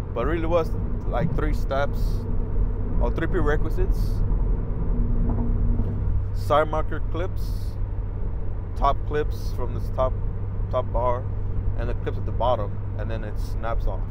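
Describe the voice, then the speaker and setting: A man speaks with long, frequent pauses, the sound dry with no echo. Loud background noise runs throughout. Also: fairly slow pace. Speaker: car owner vlogger. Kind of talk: casual vlog chat. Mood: relaxed, reflective. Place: car. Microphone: lapel.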